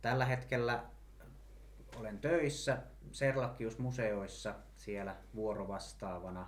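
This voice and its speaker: Audible room echo surrounds a man speaking at a very slow pace with long, frequent pauses. His fairly low voice is somewhat breathy, with ordinary pitch variation. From Finland, Mänttä (Pirkanmaa). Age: 30s. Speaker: municipal election candidate, museum worker. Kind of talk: interview.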